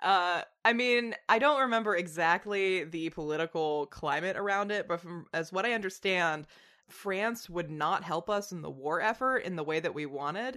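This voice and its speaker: Bright and sharp in tone, a woman with an American accent speaks at a medium pitch and a moderate pace. Her intonation is lively against a quiet background. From Tennessee, US South. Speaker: podcast host. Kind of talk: casual chat.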